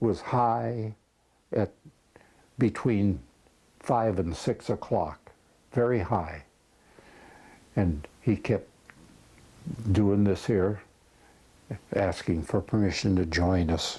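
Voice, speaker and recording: A dark, mellow, somewhat breathy voice at a very slow pace, with long, frequent pauses, ordinary pitch variation and very even loudness. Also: man, fairly low pitch for a man. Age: 80s+. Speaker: war veteran. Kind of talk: interview answer.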